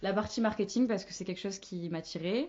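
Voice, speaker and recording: A woman with a plain, everyday voice talks at a fairly quick pace, her medium pitch showing ordinary variation. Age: 20s. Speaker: marketing manager. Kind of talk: podcast interview.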